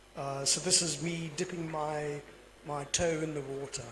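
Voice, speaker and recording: Over noticeable background noise, a man with a fairly high pitch talks at a fairly slow pace in a monotone, flat intonation. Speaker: GIS consultant. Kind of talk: panel Q&A answer.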